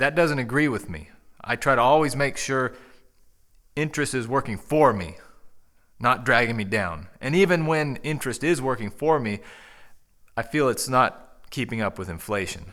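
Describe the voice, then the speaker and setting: Bright and sharp in tone, a man talks with lively intonation, vocal fry, and long, frequent pauses. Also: medium pitch for a man, very clean recording, silent background. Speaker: YouTube channel host. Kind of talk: casual talk to camera. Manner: slow; conversational.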